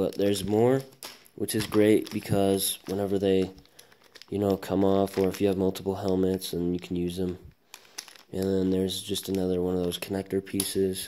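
A man with a very deep, low voice speaks over light background noise. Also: moderate pace. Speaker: product reviewer. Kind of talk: unboxing narration.

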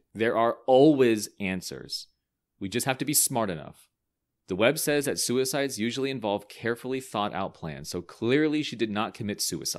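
A shaky, put-on character voice from a man, medium in pitch, with lively intonation at a moderate pace on a very clean recording with a silent background. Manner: angry, with a quiver in the voice.

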